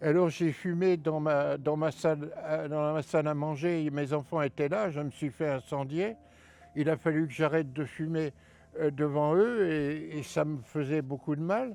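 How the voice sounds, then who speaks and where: A man's fairly high voice with a dark, mellow tone, fairly even intonation and a fairly slow pace. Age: 70s. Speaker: retired heating fitter, ex-smoker interviewee. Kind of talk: interview testimony. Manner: halting.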